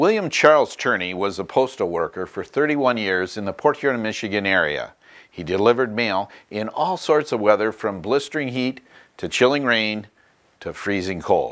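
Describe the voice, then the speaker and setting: Lively intonation marks this man's voice. He keeps his pace moderate. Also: quiet background. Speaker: documentary host. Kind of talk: documentary narration. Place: office.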